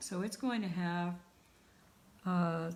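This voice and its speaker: A woman's somewhat breathy, medium-pitched voice, very slow in pace, with ordinary pitch variation and audible room echo. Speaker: art teacher. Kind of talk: online class tutorial. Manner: trails off when thinking.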